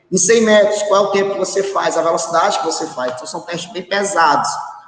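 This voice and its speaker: There is audible room echo as a man with a high pitch speaks at a fairly quick pace with ordinary pitch variation. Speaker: physical education teacher. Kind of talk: online class lecture. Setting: live online class, alone in a room. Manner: fast; halting, many filler sounds.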